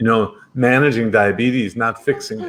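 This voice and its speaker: An ordinary speaking voice delivered at a moderate pace. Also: man. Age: 60s. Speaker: doctor. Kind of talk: interview.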